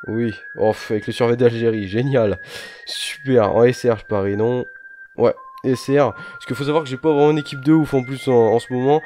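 Over noticeable background noise, a man speaks at a moderate pace with big swings in loudness. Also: medium pitch for a man, ordinary pitch variation. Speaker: gaming YouTuber. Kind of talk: gameplay commentary. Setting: home recording late at night. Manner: quiet, speaking softly.

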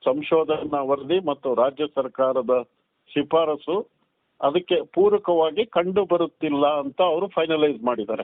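In a normal speaking voice, a man talks at a fairly high pitch with ordinary pitch variation and very even loudness. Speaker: advocate and community activist. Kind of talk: interview.

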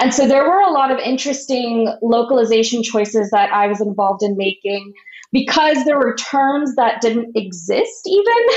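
Noticeable background noise runs behind a woman's high-pitched voice. She speaks at a moderate pace with lively intonation. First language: Marathi. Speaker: literary translator. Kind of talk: interview conversation. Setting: video call. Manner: hesitant, many fillers and repetitions.

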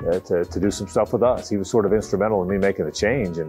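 Over faint background music, a man with an American accent speaks at a very fast pace. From Jacksonville, Florida. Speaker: sports radio host and football play-by-play broadcaster. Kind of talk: casual reminiscing interview answer. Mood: warm, nostalgic.

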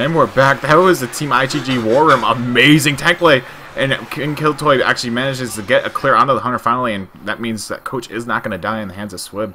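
This man talks at a medium pitch and a fairly quick pace with hardly any pauses, ordinary pitch variation, big swings in loudness and noticeable background noise. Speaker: esports caster. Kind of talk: live commentary.

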